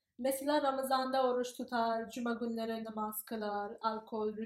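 A fairly high female voice, flat and monotone, at a fairly slow pace. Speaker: graduate student. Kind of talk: interview. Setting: in person. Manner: halting, many fillers.

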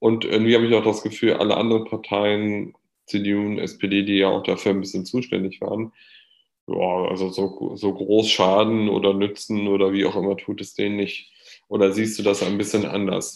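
Against a quiet background, a man speaks at a fairly low pitch. His intonation is monotone and flat, his pace moderate. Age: 20s. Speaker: podcast host. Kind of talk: casual chat.

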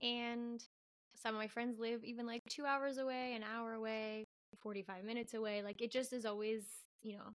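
A woman speaks at a moderate pace in a plain, everyday voice. Her pitch sits fairly high, and her intonation stays fairly even. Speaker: teacher. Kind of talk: casual chat.

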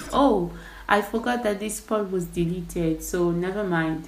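Speaking fairly slowly with an American accent, a woman is heard over noticeable noise in the background. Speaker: podcast host and writer. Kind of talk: casual behind-the-scenes chat, podcast production talk.

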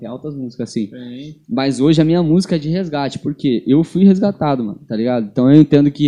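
A man's dark, mellow tone at a fairly quick pace. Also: hardly any pauses, big swings in loudness. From São Paulo, Brazil. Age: 20s. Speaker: barber and gospel rapper. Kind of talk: casual chat.

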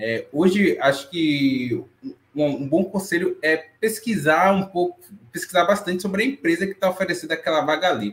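The voice belongs to a man with a high pitch. His intonation is lively. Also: moderate pace. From Brazil, Salvador, Bahia. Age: 20s. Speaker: back-end developer. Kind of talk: panel discussion.

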